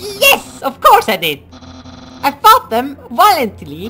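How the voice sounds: A woman puts on a character voice with a bright, sharp tone and a high pitch. She speaks at a slow pace with very wide pitch swings.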